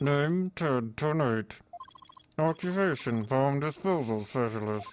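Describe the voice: A put-on robotic character voice, pitched low to middle and delivered at a fairly slow pace.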